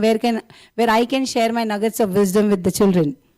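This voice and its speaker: A woman's fairly high voice with a dark, mellow tone, in an Indian accent. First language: Tulu. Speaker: school principal, guest speaker. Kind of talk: formal speech. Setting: stage with audience. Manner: formal.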